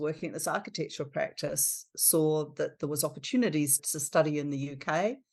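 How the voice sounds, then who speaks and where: With a New Zealand accent, a woman speaks at a fairly quick pace, her very deep, low pitch, dark, mellow tone and ordinary pitch variation all clear. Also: quiet background. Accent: non-American, New Zealand. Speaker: architecture firm principal. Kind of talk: podcast interview.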